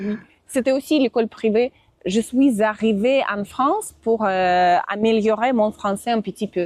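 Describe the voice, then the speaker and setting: A woman talks at a fairly slow pace with a fairly high pitch. Her pitch varies in an ordinary way, and the sound is dry and close with no echo. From Russia, Moscow. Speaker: Russian and French teacher, visa assistant. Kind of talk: interview. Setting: outdoors. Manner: halting, many hesitations.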